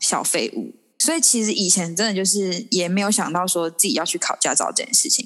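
The speaker has an unremarkable speaking voice and a moderate pace. Intonation is lively. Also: woman. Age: 20s. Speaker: podcast guest. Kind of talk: casual chat.

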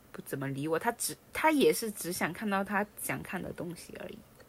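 Using a normal speaking voice, a woman speaks at a fairly quick pace and medium pitch with lively intonation. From Guangdong, outside the Pearl River Delta. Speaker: podcast co-host. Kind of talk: casual chat.

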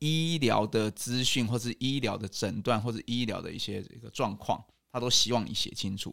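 Medium pitch and ordinary pitch variation at a moderate pace, a plain, everyday voice, a man's. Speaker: rehabilitation physician and national team doctor. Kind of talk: interview.

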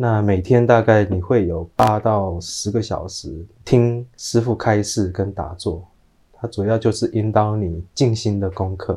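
This man's voice sits at a fairly low pitch and is somewhat breathy. His tone is dark and mellow. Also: fairly even intonation, fairly slow pace. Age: 30s. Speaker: pet funeral professional. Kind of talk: interview.

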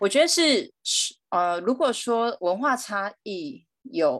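Against a quiet background, a woman with a Chinese accent speaks with very wide pitch swings. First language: Mandarin Chinese. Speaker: guest. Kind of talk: casual chat.

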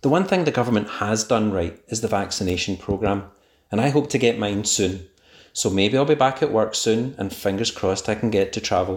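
A man with a Scottish accent and a fairly low voice speaks at a fairly quick pace with ordinary pitch variation. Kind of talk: recorded voice message.

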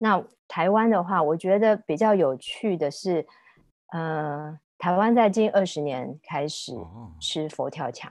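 Against a quiet background, a woman speaks at a very slow pace in a fairly low pitch. Her intonation is lively, with big swings in loudness. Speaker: food journalist and former magazine editor. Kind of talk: casual interview chat.

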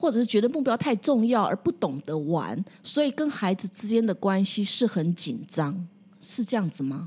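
A woman's medium-pitched, somewhat breathy voice at a moderate pace, with very wide pitch swings. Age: 60s. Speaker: counseling psychologist. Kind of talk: casual chat.

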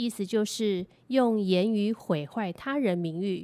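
A woman speaks at medium pitch and a very slow pace. The recording is very clean, with a silent background and a dry, close sound with no echo. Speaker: lawyer. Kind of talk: scripted legal explainer podcast.

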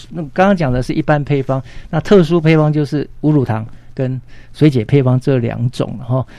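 A man at a moderate pace, with a dark, mellow tone, fairly high pitch and ordinary pitch variation. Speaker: pediatrician. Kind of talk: health talk interview.

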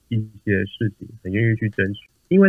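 A man with a fairly low pitch speaks at a moderate pace in an ordinary speaking voice. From Taiwan. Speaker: product manager. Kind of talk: interview. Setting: remote recording.

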